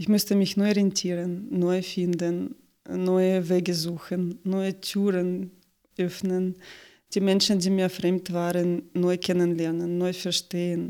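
Very slow, monotone, flat delivery with a dark, mellow tone, on a very clean recording with a silent background. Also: woman, medium pitch for a woman. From Ukraine. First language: Russian or Ukrainian (speaking German). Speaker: marketing expert. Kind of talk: interview. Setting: studio. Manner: halting, many fillers.

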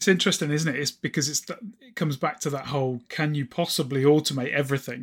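On a very clean recording with a silent background, a somewhat breathy man with a fairly high pitch talks at a very fast pace with hardly any pauses and fairly even intonation. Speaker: podcast host. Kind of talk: casual interview chat.

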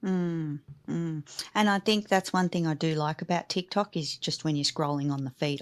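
A woman with an Australian accent. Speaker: podcast host, business coach. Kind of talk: casual interview chat. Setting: remote call. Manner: enthusiastic.

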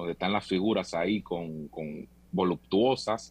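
A man with an unremarkable speaking voice talks at a fairly slow pace, his pitch varying in an ordinary way. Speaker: tour operator. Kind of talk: interview.

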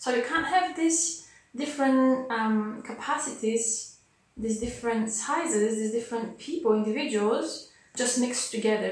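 Speaking at a moderate pace, a woman with a fairly high pitch and ordinary pitch variation is heard over noticeable background noise and audible room echo. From Bulgaria. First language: Bulgarian. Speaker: dancer and dance scientist. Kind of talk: interview.

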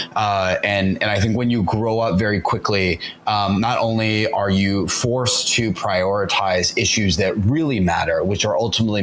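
With an American accent, a man talks at a fairly low pitch. His pitch variation is ordinary, and noticeable background noise is present. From US South and Orange County, California. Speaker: entrepreneur. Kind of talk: interview.

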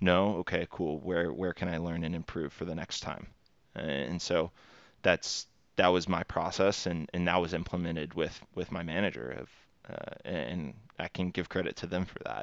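Delivered with fairly even intonation and vocal fry, the voice carries a Texan accent. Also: man, very deep, low pitch for a man, moderate pace. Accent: Texan American. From Texas. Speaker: recruiter. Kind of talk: interview. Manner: halting.

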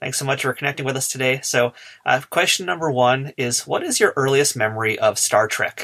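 Man with an American accent, an unremarkable speaking voice, medium pitch, fairly even intonation, fairly quick pace. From United States. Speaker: podcast host. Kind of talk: scripted narration; interview. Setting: remote call.

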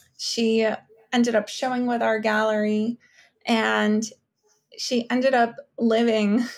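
A woman with a New York accent speaks fairly slowly in a fairly high pitch, with monotone, flat intonation and long, frequent pauses. The recording is very clean, with a silent background. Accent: New York American. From Ukraine, raised in Brooklyn. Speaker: art consultant. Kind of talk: casual interview.

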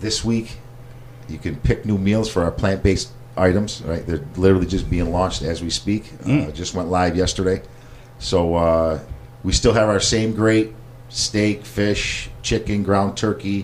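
Over noticeable background noise, the speech is fairly slow, with an American accent and ordinary pitch variation. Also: man, fairly low pitch for a man. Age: 40s. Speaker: chef and meal prep business owner. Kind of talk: casual interview. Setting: studio, in person.

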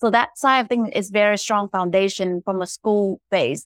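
The sound is dry and close, with no echo. The speaker uses a moderate pace and ordinary pitch variation. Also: woman. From Vietnam. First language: Vietnamese. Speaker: angel investor. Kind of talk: panel discussion. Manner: halting.

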